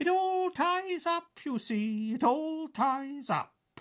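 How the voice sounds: A man uses a put-on character voice at an extremely high pitch. He speaks at a very slow pace.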